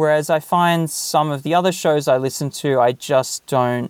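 A man talks at a moderate pace with an Australian accent. His pitch variation is ordinary. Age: 40s. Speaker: podcast listener and tool builder. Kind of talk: interview.

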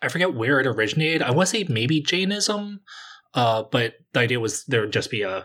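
On a very clean recording with a silent background, a man talks at a fairly quick pace, his tone bright and sharp, his intonation lively. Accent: East Coast American. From US East Coast. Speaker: podcast guest. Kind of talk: casual chat.

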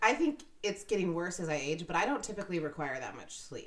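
A woman's fairly low voice at a very fast pace, with noticeable background noise. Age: 30s. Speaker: podcast co-host. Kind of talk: casual chat.

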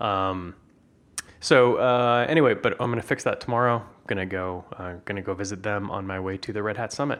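In an ordinary speaking voice, a man talks at a fairly low pitch with ordinary pitch variation. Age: 40s. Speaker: podcast host. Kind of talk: casual chat.

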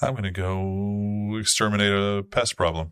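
A man's put-on character voice at a moderate pace, fairly low in pitch, against a quiet background. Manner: cold, determined.

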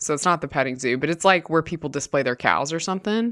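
A woman speaks at a fairly low pitch. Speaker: podcast co-host. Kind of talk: casual chat. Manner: animated.

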